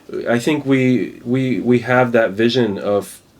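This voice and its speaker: A man with an American accent at medium pitch, amid noticeable background noise. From Spain and the US. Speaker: DJ / electronic music artist. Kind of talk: casual podcast chat. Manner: halting, many repetitions.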